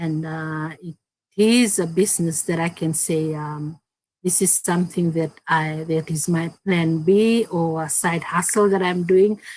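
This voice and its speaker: A woman talks at a fairly slow pace with a Fijian accent. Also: fairly low pitch for a woman, fairly even intonation. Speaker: digital business owner, co-host. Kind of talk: live-stream business chat. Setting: online live stream.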